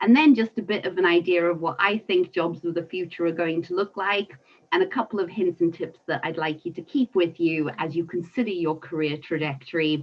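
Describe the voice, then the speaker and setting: A woman speaks at a fairly quick pace with a South African accent, her pitch fairly low. She hardly pauses at all. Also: ordinary pitch variation. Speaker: environmental consultant. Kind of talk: webinar talk.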